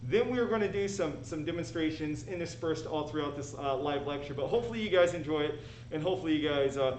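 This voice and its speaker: Audible room echo surrounds a man whose fairly high pitch moves with lively intonation. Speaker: high school biology teacher. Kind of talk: live lecture. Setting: live stream. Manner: fast.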